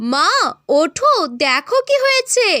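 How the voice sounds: A woman uses a cartoonish character voice. Her pitch is extremely high.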